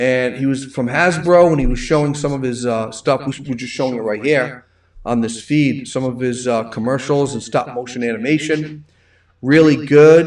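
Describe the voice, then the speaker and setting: With a strong Rhode Island accent, a man speaks at a moderate pace and medium pitch, his intonation fairly even. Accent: thick Rhode Island. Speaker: livestream host. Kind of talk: casual chat. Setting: livestream.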